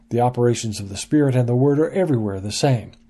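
A man's dark, mellow, somewhat breathy voice with lively intonation, over a quiet background. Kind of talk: scripted devotional teaching read aloud, with an introduction and sign-off. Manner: measured, earnest, formal.

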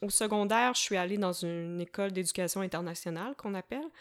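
A woman speaks at a medium pitch. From Quebec, south shore of Montreal (Varennes). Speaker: slam poet and musician. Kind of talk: casual interview conversation. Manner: animated, frequent laughter.

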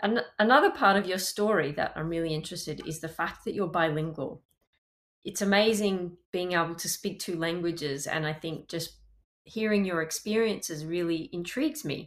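At a moderate pace and with ordinary pitch variation, this speaker talks with an Australian accent over a very clean recording with a silent background. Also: woman, fairly low pitch for a woman. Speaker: podcast host and language coach. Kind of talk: interview conversation.

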